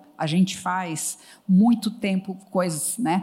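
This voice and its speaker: This woman's voice sits at a medium pitch and is somewhat breathy. Her pitch varies in an ordinary way. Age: 60s. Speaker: psychologist and HR consultancy founder. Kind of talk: panel talk on stage. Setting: stage with audience.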